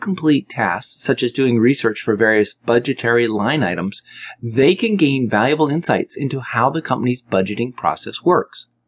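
A man with a plain, everyday voice at a medium pitch, moderate pace and hardly any pauses, in a dry, close sound with no echo. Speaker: audiobook narrator and author. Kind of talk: audiobook narration, scripted business advice read aloud. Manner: direct, brisk and conversational, with a gently bossy, coaching tone; even, steady pacing, instructional and clear.

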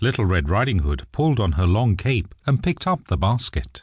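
A man's gentle, warm, fairly low voice with vocal fry and very wide pitch swings at a moderate pace. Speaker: audiobook narrator. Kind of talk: bedtime story narration, scripted reading aloud of a fairy tale. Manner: gentle, warm, storyteller pacing with a lightly animated tone for the child's lines; clear and measured, suited to young children.

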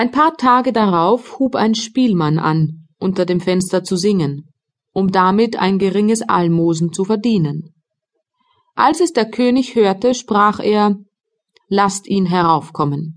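Very slow, lively-intoned speech from a woman at medium pitch, with very even loudness. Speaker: audiobook narrator. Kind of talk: scripted audiobook narration of a fairy tale, dramatic storytelling for children.

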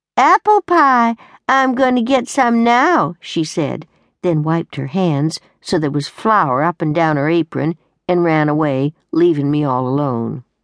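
A woman at a fairly low pitch and fairly slow pace, with very wide pitch swings, a quiet background and a dry, close sound without echo. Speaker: audiobook narrator. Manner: gruff, weary and rueful, with a slow, dry, homespun drawl.

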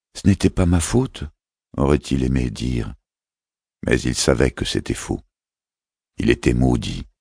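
With a very deep, low pitch and vocal fry, a man talks in an animated tone at a fairly slow pace, his pitch varying in an ordinary way. The sound is dry and close, with no echo. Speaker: audiobook narrator. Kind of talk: dramatic audiobook narration of a fantasy novel. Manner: animated, shifting between hushed menace and a child's voice; measured, storytelling pace.

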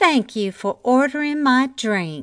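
In a put-on character voice, a woman speaks at a high pitch with very wide pitch swings against a quiet background. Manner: saccharine, overly sweet.

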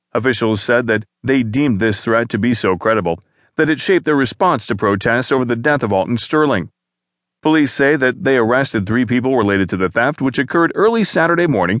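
Against a quiet background, a man with an ordinary speaking voice talks at a fairly quick pace. His medium pitch carries lively intonation. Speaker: audiobook news narrator. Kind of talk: formal newsreading, scripted narration of newspaper articles. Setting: studio. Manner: formal, measured and even, neutral news-anchor delivery.

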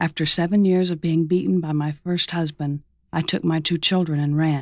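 In a quiet background, a woman with an American accent speaks at a moderate pace and a fairly low pitch. She has an unremarkable speaking voice. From Mississippi, US South. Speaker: memoir author and audiobook narrator. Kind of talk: dramatic audiobook narration of a memoir, reflective and solemn, read aloud.

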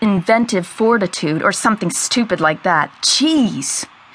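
A passage is read aloud in a natural voice.

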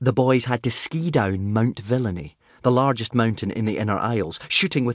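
The clip holds plain reading aloud. Sentences are read off one after another.

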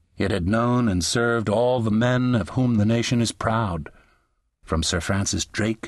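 This man has an ordinary speaking voice, fairly low in pitch. He talks at a fairly slow pace against a quiet background. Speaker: audiobook narrator. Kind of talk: dramatic audiobook narration, reading aloud. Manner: slow, measured, solemn and stately.

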